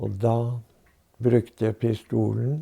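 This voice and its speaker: A man speaks very slowly in a fairly low voice. His tone is dark, mellow and somewhat breathy. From Norway. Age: 80s+. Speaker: war veteran, former spy. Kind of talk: interview answer.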